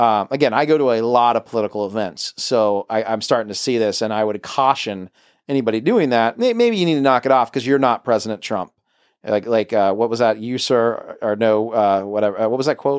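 On a very clean recording with a silent background, a man at medium pitch talks at a fairly quick pace with ordinary pitch variation in a dry, close sound with no echo. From US South. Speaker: political podcast host. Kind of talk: casual political chat. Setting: home studio bunker.

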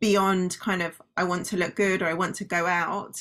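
A woman with a British accent at a moderate pace. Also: very clean recording, silent background. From Britain. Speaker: company founder and former doctor. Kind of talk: interview.

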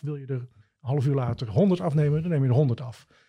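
On a very clean recording with a silent background, a man's fairly high pitch carries a dark, mellow tone and is somewhat breathy. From Netherlands, Gouda. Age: 50s. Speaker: cloud IT expert. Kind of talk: interview.

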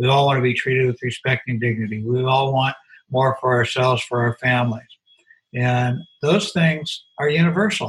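Somewhat breathy delivery at a moderate pace, with ordinary pitch variation and very even loudness. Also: man, medium pitch for a man. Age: 70s. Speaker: former business executive and author. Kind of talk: interview.

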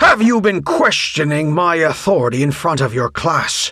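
A man puts on a character voice with a bright, sharp tone and a slightly husky edge, pitched fairly high for a man, with big pitch swings at a moderate pace.

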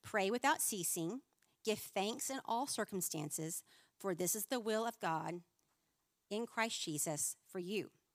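A woman has a plain, everyday voice at medium pitch, with lively intonation and a moderate pace. The recording is very clean with a silent background and a dry, close sound with no echo. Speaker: women's minister. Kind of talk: sermon. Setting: stage with audience.

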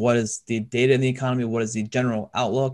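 The speech moves at a very fast pace with monotone, flat intonation against a quiet background. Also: man. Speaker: podcast host, financial advisor. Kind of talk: casual chat, financial talk.

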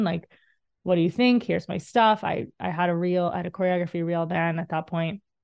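Speaking in an American accent, a woman uses a fairly low pitch. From Texas, Dallas. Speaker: dance choreographer and career coach. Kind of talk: solo podcast monologue. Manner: animated.

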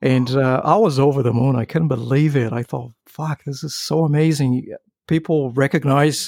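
A man speaks at a moderate pace and medium pitch with a non-native accent. His intonation is fairly even, on a very clean recording with a silent background. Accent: foreign-accented English. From outside US and UK. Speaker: adult content performer. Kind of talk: casual chat. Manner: halting.

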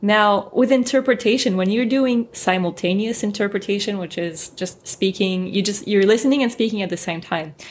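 A woman with a French accent, hardly any pauses, on a very clean recording with a silent background. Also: medium pitch for a woman, ordinary pitch variation, moderate pace. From France, then US from age 12. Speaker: translator and interpreter. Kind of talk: interview.

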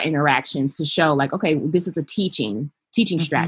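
A woman's very deep, low voice in an American accent, with ordinary pitch variation. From US West Coast, Los Angeles. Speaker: childcare business founder and behavioral therapist. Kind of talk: interview.

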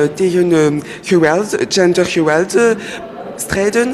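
In a French accent, a woman with a fairly low pitch speaks at a very slow pace over noticeable background noise. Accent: French-speaker accent in Dutch. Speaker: lawyer learning Dutch as second language. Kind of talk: radio interview. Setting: live radio at public event in cinema. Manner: halting, many hesitations.

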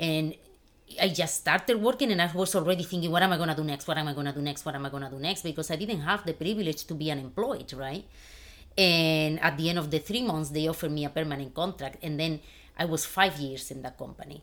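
A woman with a Spanish accent speaks at a very fast pace in a very deep, low voice with ordinary pitch variation. The recording is very clean, with a silent background. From Spain. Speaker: financial advisor. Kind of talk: casual interview.

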